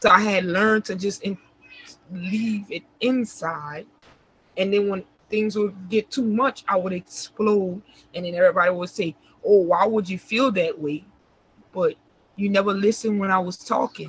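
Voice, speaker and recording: Somewhat breathy, a woman speaks at a medium pitch and moderate pace. Her intonation is fairly even, with long, frequent pauses. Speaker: interview guest sharing life story. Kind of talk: casual interview, personal testimony. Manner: soft-spoken.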